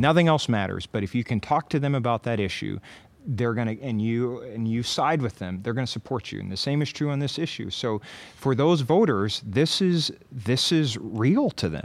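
Here is a man with an ordinary speaking voice and an American accent. His pitch is medium and his intonation lively. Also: moderate pace. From Iowa, Linn County. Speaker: county supervisor. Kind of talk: casual chat. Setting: stage with audience.

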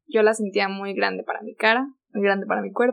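A woman is talking. Her pace is moderate. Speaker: former au pair. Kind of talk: casual chat.

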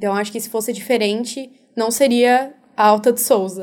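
A woman talks at a moderate pace in a normal speaking voice. Her pitch is fairly high and her intonation fairly even. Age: young. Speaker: youth volunteer coordinator. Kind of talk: radio interview.

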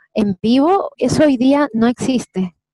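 A woman with a Chilean accent and a high, dark, mellow voice, lively intonation, and dry, close sound with no echo. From Chile, Santiago. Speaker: singer and actress. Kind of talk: interview.

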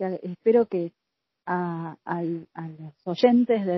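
The woman's voice is somewhat breathy. Her pitch varies in an ordinary way. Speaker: podcast host. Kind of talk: interview.

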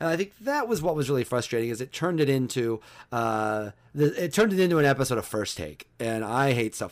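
On a very clean recording with a silent background, a man with an American accent talks at a very fast pace, with lively intonation and big swings in loudness. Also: medium pitch for a man. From central Illinois. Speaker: sports columnist. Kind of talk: interview.

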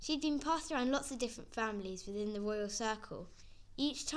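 A natural reading voice, its pitch shifting in an ordinary way

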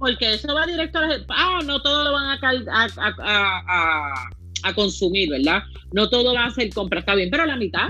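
A woman with a fairly high pitch makes very wide pitch swings while her loudness stays very even and her pace moderate. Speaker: podcast co-host. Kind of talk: casual political discussion. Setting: live video stream.

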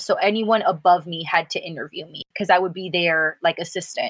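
A woman with a plain, everyday voice speaks at a fairly quick pace in a medium pitch with ordinary pitch variation. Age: 20s. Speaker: podcast co-host. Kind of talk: casual chat.

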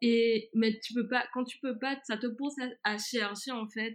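A woman speaks fairly slowly at a high pitch, her intonation monotone and flat. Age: 20s. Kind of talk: casual chat. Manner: halting.

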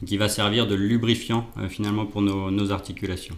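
Fairly low in pitch, a man talks at a fairly quick pace in a monotone, flat way. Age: 30s. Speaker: chemical engineer and hyaluronic acid industry consultant. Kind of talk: expert interview. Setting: on location in the guest's offices. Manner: hesitant, with frequent fillers and repetitions.

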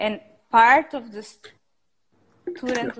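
A woman is speaking. She has a Spanish accent. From Costa Rica. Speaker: architect and entrepreneur. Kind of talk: interview.

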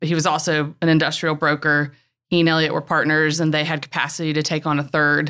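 Very fast American-accented speech with a bright, sharp tone, flat monotone intonation and very even loudness on a very clean recording with a silent background. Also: woman, very deep, low pitch for a woman. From North Carolina, near Winston-Salem. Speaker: commercial real estate broker. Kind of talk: interview.

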